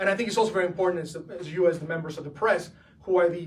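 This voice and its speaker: There is audible room echo around a man whose voice sits high in pitch, with fairly even intonation. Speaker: political candidate for comptroller. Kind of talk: press conference.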